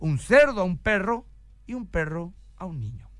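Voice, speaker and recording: The voice belongs to a man with a high pitch. His tone is bright and sharp, and his pitch swings very widely. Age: 40s. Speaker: pastor. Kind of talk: radio talk on family values.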